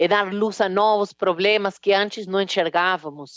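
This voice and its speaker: In an Argentine accent, a woman speaks at medium pitch and a fairly slow pace, with a dry, close sound and no echo. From Argentina, Rosário. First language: Spanish (speaking Portuguese). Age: 40s. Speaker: business executive and speaker. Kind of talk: keynote talk. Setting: stage with audience.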